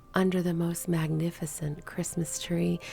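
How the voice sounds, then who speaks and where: Soft-spoken, a woman talks at a very slow pace. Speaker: bridal gown seamstress. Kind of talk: story reading.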